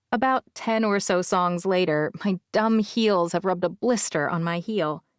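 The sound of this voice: Quiet surroundings and an unforced reading voice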